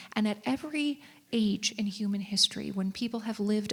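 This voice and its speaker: A woman's somewhat breathy voice with a Minnesotan accent. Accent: Minnesota. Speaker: author and civic educator. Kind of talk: live stage conversation. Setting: stage with audience.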